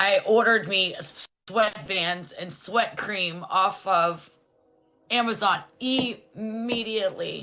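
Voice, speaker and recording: A woman speaks at a very slow pace with ordinary pitch variation, music playing in the background. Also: medium pitch for a woman. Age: 30s. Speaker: guest sharing her life story. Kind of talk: testimony.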